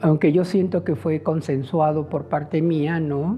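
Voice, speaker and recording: At a fairly slow pace, a woman with a fairly low pitch speaks against noticeable background noise. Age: 50s. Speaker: activist. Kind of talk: testimony. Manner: halting.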